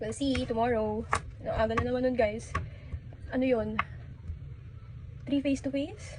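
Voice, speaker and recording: A woman talks at a moderate pace with long, frequent pauses. Audible room echo and noticeable background noise fill the recording. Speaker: vlogger. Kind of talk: casual chat. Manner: loud.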